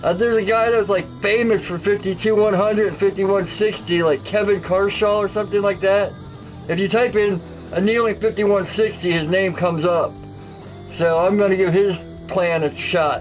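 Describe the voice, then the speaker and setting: Clear music plays behind a man whose high-pitched voice holds fairly even intonation, a moderate pace and very even loudness. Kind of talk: casual vlog chat. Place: workshop.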